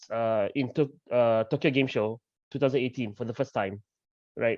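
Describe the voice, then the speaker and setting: A man's voice at a moderate pace, dry and close with no echo, over a quiet background. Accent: Malaysian. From Malaysia. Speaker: game developer. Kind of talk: panel discussion. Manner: conversational, many fillers.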